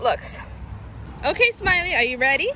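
With an extremely high pitch, a woman speaks at a fairly quick pace in a dry sound with no echo and light background noise. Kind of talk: casual vlog chat. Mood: cheerful, affectionate. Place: street. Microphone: phone near.

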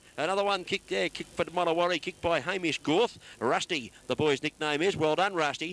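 With an Australian accent, a man talks at a very fast pace with hardly any pauses, his pitch high, his pitch variation ordinary, and the sound dry and close with no echo. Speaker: football commentator. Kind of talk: live commentary.

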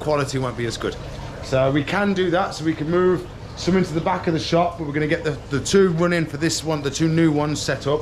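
Fairly quick male speech beneath noticeable background noise. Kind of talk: casual vlog chat. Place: shop. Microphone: phone near.

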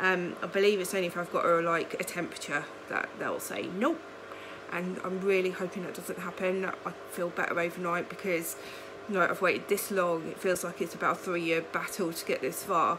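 Against noticeable background noise, a woman speaks at a fairly low pitch in a monotone, flat intonation. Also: fairly quick pace. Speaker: vlogger. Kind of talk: casual vlog chat. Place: home room. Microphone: phone near.

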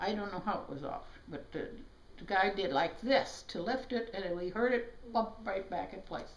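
A woman speaks at a fairly slow pace, with audible echo from the room. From South Dakota, USA. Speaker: chiropractor. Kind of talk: interview answer. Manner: hesitant, many fillers. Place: home room. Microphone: camera far.

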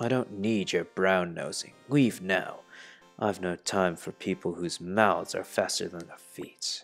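A man uses a put-on character voice, fairly low in pitch, at a fairly slow pace. His loudness swings widely, with faint music in the background. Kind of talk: haughty, formal. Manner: curt, dismissive.

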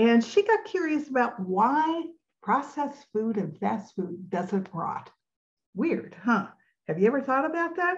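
Speaking fairly slowly, the woman has a high voice whose pitch swings very widely. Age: 70s. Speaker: health coach and podcast host. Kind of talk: podcast monologue on health and food industry. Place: home room. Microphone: webcam.

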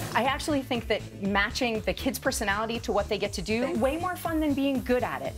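Very fast speech from a woman with hardly any pauses, clear music in the background. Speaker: family physician, parenting and resilience expert. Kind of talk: TV interview answer. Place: studio. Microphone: lapel.

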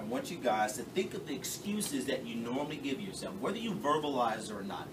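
Noticeable background noise sits behind a man speaking at a fairly quick pace. His pitch swings very widely, with hardly any pauses. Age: 40s. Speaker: motivational speaker. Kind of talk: motivational talk to a youth basketball team. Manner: interactive, questioning the audience. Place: classroom. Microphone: camera far.

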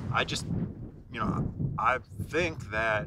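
Loud background noise surrounds a man as he talks. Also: dry sound with no echo. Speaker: interviewee. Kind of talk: interview answer. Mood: reflective, earnest. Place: open country.

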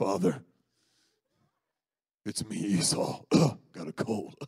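In a raspy, put-on character voice, a man speaks at a fairly slow pace with a fairly low pitch.

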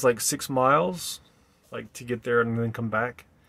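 At a moderate pace, the voice carries a bright, sharp tone. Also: man. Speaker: vlogger living in a bus. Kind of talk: casual vlog chat. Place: bus. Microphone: phone near.

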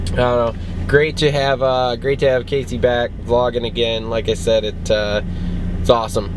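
A man's voice amid noticeable background noise, dry with no echo. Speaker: vlogger. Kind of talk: casual vlog chat. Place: car. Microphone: phone near.

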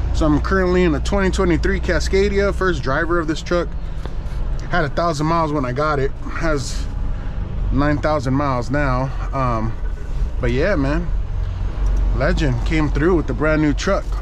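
A man speaks at a moderate pace with very even loudness and long, frequent pauses. The sound is dry with no echo, though noticeable background noise is present. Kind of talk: casual vlog chat. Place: car. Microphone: camera far.

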